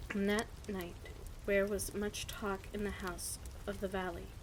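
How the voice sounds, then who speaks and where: Against noticeable background noise, the speaker uses a relaxed tone at a fairly slow pace. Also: woman. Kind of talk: bedtime story reading. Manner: stutters at times; quiet, relaxed.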